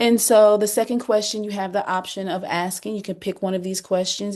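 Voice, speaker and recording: With fairly even intonation, a woman speaks at a moderate pace against noticeable background noise. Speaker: workshop facilitator. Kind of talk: group workshop facilitation.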